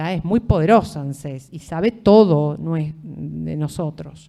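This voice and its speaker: In a Rioplatense accent, the speaker goes at a fairly slow pace, with ordinary pitch variation and big swings in loudness. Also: woman, very deep, low pitch for a woman. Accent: Argentine Rioplatense Spanish. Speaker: law lecturer. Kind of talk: lecture. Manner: conversational, with many fillers.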